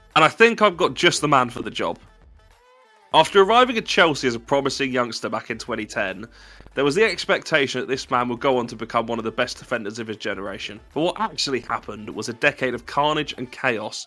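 Talking at a very fast pace, a man with a medium-pitched voice and a bright, sharp tone uses lively intonation and big swings in loudness. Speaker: podcast host. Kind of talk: casual chat. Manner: animated.

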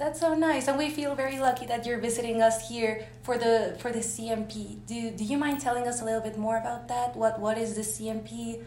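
A woman talks with hardly any pauses. Audible room echo and noticeable background noise accompany her voice. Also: moderate pace. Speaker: youth delegate interviewer. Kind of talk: interview. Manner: hesitant, filler-heavy.

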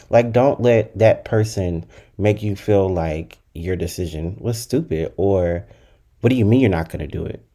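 Here a man speaks with a fairly low pitch and a dark, mellow tone, his pitch varying in an ordinary way. The recording is very clean, with a silent background. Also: moderate pace. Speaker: solo podcast host. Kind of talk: casual solo monologue. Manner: not loud, gentle tone.

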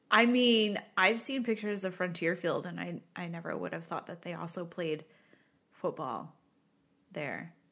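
In an American accent, a woman with a fairly low pitch and a bright, sharp tone speaks with lively intonation, an animated tone and vocal fry, on a very clean recording with a silent background. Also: moderate pace. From Rochester, New York area, US. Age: 30s. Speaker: podcast co-host. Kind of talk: casual chat. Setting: home recording studio. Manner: animated, frequent laughter.

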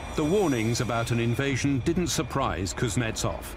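A man's dramatic voice at medium pitch and moderate pace, with ordinary pitch variation and noticeable background noise. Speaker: documentary narrator. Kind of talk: history documentary narration. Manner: measured, grave, steady storyteller's delivery; formal, dramatic and authoritative.

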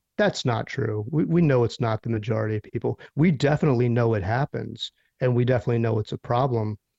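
A man with an American accent talks at a very fast pace, hardly pausing at all, his medium-pitched voice dark, mellow and somewhat breathy. The pitch moves in an ordinary way, and the sound is dry and close with no echo. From US Northeast, Philadelphia. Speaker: neuromonitoring professional and society leader. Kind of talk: interview.

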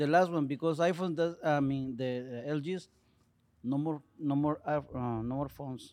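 The speaker has a Mexican accent, a moderate pace and fairly even intonation. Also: man, fairly high pitch for a man. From Mexico. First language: Spanish. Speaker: auto body technician. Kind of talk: casual chat. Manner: halting.

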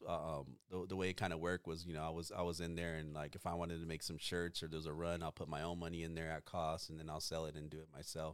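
A man's very deep, low voice with an American accent, monotone and flat, at a very fast pace. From Oxnard, California. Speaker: barbershop owner. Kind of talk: casual chat.

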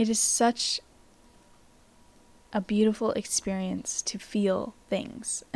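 A woman speaks in a somewhat breathy voice at a very slow pace. Her intonation is monotone and flat, with long, frequent pauses. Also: fairly high pitch for a woman. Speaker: self-help podcast host. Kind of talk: reflective monologue.

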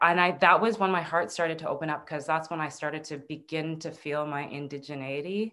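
This voice has a bright, sharp tone and a Canadian accent. It moves at a moderate pace with fairly even intonation over a quiet background. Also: woman. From Northern Ontario, Canada (Anishinaabe). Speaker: TV host, producer and herbalist. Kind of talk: casual interview chat. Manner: halting with many repeats.

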